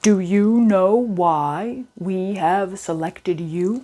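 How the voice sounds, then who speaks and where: A woman uses a put-on character voice at a medium pitch, speaking at a very slow pace. The recording is very clean, with a silent background. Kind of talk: bedtime story. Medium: read story. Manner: formal, measured.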